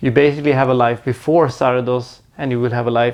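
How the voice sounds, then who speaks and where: This man has a medium-pitched voice. His intonation stays fairly even. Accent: Swedish. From Sweden. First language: Swedish. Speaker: movie reviewer YouTuber. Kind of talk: casual Q&A vlog to camera. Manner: halting, with frequent repetitions and fillers.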